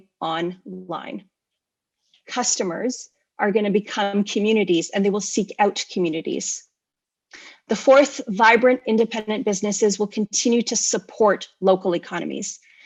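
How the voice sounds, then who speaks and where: Speaking in a normal speaking voice with a Canadian accent, a woman keeps a moderate pace, a fairly high pitch and ordinary pitch variation. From Canada. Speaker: e-commerce company speaker. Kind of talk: conference presentation. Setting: virtual conference.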